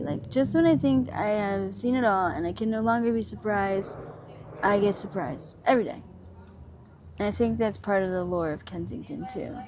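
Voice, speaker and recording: A woman talks with an American accent. Room echo is audible. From Pennsylvania, Montgomery County. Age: 30s. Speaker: interviewee, person living on the street. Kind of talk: interview. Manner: halting, many fillers.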